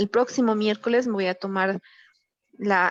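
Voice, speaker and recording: In a dry, close sound with no echo, a woman speaks at medium pitch with monotone, flat intonation. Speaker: university teacher. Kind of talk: online class lecture. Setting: video call. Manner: subdued, duller voice.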